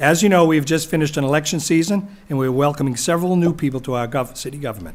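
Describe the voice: This man talks at a fast pace. His voice is fairly high. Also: ordinary pitch variation.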